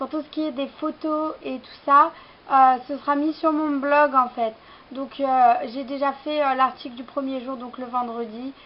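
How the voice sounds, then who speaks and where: Her high-pitched voice moves at a fairly slow pace with fairly even intonation. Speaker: fashion vlogger. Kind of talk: haul vlog, casual talk to camera. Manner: hesitant, many fillers.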